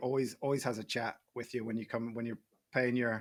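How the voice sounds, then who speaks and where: The recording is very clean, with a silent background. A man speaks at a medium pitch and moderate pace in a monotone, flat intonation. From northeast Scotland. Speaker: golf game entrepreneur. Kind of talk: casual podcast interview.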